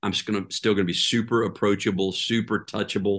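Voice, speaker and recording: Against a quiet background, a man with an American accent talks at a fairly quick pace in a fairly low pitch. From Oklahoma, Tulsa. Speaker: pastor. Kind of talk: interview conversation.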